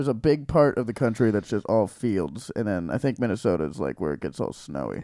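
Very wide pitch swings and vocal fry in a dark, mellow tone at a fairly quick pace, on a very clean recording with a silent background. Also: man, fairly low pitch for a man. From Hawaii. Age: 20s. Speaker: podcast host and comedian. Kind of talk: casual chat. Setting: bedroom recording.

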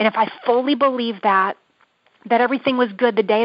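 This woman has an American accent and an unremarkable speaking voice, talking at a moderate pace with fairly even intonation. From Michigan, US. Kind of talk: interview testimony; prayer. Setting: phone call.

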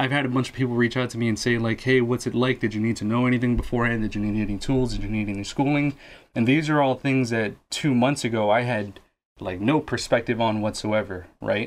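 An ordinary speaking voice at a fairly quick pace against a quiet background. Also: man. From Guatemala, raised in Lawrence, Massachusetts. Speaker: podcast co-host and new electrician. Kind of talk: casual chat. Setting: studio.

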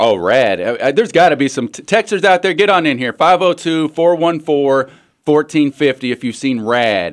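Speaking at a moderate pace, a man with an American accent uses lively intonation. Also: fairly high pitch for a man, very clean recording, silent background. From Western Kentucky. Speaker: guest sports radio co-host. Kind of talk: casual chat.

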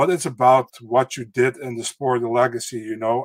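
A Dutch accent in a dry, close recording free of echo. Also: man. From Netherlands. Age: 30s. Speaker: MMA podcast co-host. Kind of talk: casual chat.

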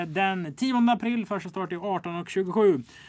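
With fairly even intonation, a man talks at a high pitch. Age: 20s. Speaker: podcast host. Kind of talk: casual chat.

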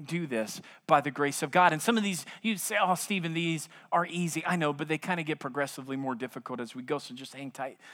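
A man with an American accent, fairly high pitch and a bright, sharp tone, at a fairly quick pace with ordinary pitch variation, on a very clean recording with a silent background. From US South, South Louisiana. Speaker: pastor. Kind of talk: sermon.

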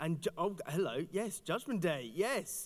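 A man speaks with a high-pitched voice. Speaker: church curate. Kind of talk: sermon. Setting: church service.

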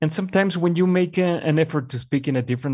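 Here a man speaks with a Mexican accent and ordinary pitch variation. The recording is very clean, with a silent background. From Mexico. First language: Spanish. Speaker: communications executive. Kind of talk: interview. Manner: hesitant.

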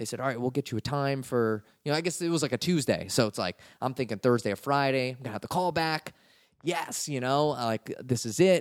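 This is a man with an unremarkable speaking voice, medium pitch and ordinary pitch variation, talking at a fairly quick pace. The recording is very clean, dry and close, with a silent background and no echo. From Washington DC area. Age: 30s. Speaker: comedian. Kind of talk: casual chat.

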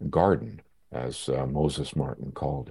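Here a man talks with a Canadian accent. His tone is dark and mellow, with vocal fry. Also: quiet background. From Canada, Victoria, British Columbia. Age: 80s+. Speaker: historian and author. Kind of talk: interview. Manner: halting.

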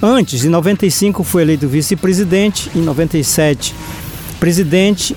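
A man with a high pitch and ordinary pitch variation talks over noticeable background noise. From Brazilian Amazon, Arapiuns river, Pará. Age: 60s. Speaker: community leader. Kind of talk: storytelling. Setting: recorded podcast interview.

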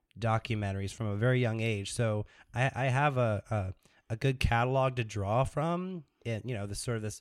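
Speaking in a normal speaking voice, a man with a medium pitch keeps a moderate pace and ordinary pitch variation. The recording is very clean, with a silent background. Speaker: podcast guest, musician and filmmaker; documentary maker.

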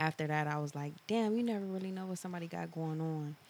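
A soft-spoken woman's very deep, low voice at a fairly quick pace with ordinary pitch variation. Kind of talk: casual chat. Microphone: too far from the mic.

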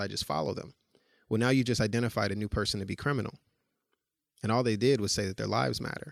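A man with an American accent, fairly low in pitch and fairly quick, with ordinary pitch variation on a very clean recording with a silent background. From Chicago, North Lawndale. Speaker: consulting agency founder and chief executive. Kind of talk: interview. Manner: hesitant with many fillers.

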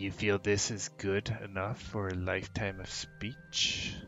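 A man's put-on character voice, gravelly and fairly low, with clear music in the background. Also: fairly slow pace.

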